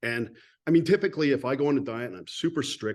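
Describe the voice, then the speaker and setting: Over a quiet background, a man talks fairly quickly in an ordinary speaking voice with ordinary pitch variation. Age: 50s. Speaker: podcast host. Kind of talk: casual interview chat.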